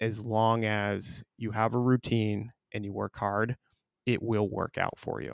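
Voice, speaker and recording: In a dry, close sound with no echo, a man with a fairly low pitch talks in a flat monotone at a fairly slow pace. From Vermont, South Burlington. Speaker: insurance sales executive. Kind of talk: podcast interview.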